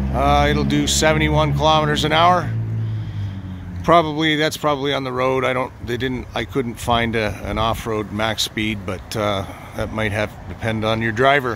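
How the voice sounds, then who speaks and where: A man is speaking. The sound is dry with no echo, and there is noticeable background noise. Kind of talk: casual walkaround commentary. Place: open country. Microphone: phone near.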